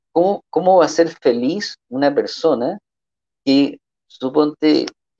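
Here a man is talking. His pace is fairly slow. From Chile (born in New York, partly raised in Cairo). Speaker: presidential candidate. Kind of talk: interview.

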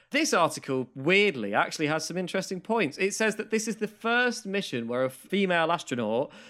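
A man with a southern English accent speaks at a very fast pace in a bright, sharp tone. His pitch swings very widely, and the recording is very clean with a silent background. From southern England (Maidstone, Kent). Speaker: podcast co-host. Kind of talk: casual chat.

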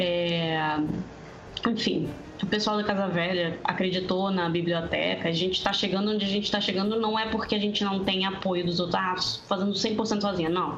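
A woman speaks at medium pitch and a moderate pace, her intonation flat and monotone and her loudness very even. Room echo is audible, and background noise is noticeable. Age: 20s. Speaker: tabletop RPG player. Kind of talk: casual chat.

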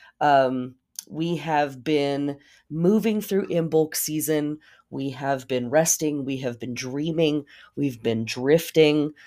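With ordinary pitch variation, a woman speaks in a dark, mellow tone. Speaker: podcast host. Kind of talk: casual monologue on astrology. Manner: filler-heavy, casual.

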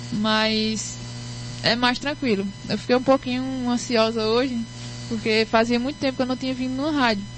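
A woman's fairly high voice with very wide pitch swings, a moderate pace, long, frequent pauses and noticeable background noise. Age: 20s. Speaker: singer. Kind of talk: interview. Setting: radio studio.

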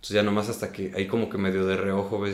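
A man's fairly low voice at a very fast pace. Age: 30s. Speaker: stage actor. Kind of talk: casual interview.

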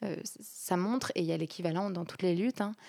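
At a moderate pace, a woman speaks at a medium pitch with ordinary pitch variation on a very clean recording with a silent background. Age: 20s. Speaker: student and eco-feminist social media activist. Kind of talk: interview conversation. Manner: hesitant, frequent repetitions and fillers.

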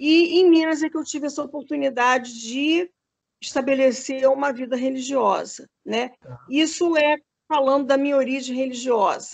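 A woman's high-pitched voice moves at a moderate pace with fairly even intonation. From Rio de Janeiro, Brazil. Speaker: candomblé priestess and retired dance professor. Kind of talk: interview conversation. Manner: hesitant, many fillers.

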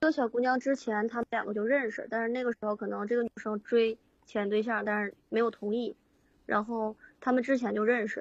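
A woman talks at a fairly quick pace and a fairly high pitch. Her intonation is monotone and flat. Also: dry, close sound with no echo. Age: 20s. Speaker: caller seeking relationship advice. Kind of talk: call-in personal story. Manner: halting, hesitant.

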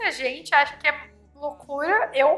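A raised, projected voice with a bright, sharp tone. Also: woman. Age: 30s. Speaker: pet influencer and podcaster. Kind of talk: interview chat. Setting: guesthouse.

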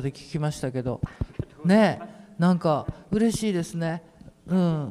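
Speaking at a fairly slow pace in an Ehime accent, a man has a dark, mellow tone and ordinary pitch variation. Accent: Iyo (Ehime) dialect. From Imabari, Ehime (Shikoku). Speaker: painter coordinating a community talk event. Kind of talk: casual panel discussion. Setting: public hall with audience.

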